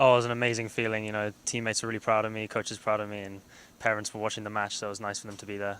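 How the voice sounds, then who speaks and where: In a London accent, a man talks very fast at a fairly low pitch, his intonation monotone and flat while his loudness swings widely. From London, England. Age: young. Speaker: college soccer player. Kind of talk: casual interview.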